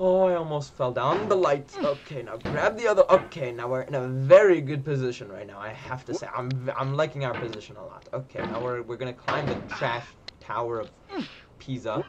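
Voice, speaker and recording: Lively intonation at a fairly quick pace, with big swings in loudness and noticeable background noise. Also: man, medium pitch for a man. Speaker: gaming streamer. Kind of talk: live gameplay commentary. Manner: animated.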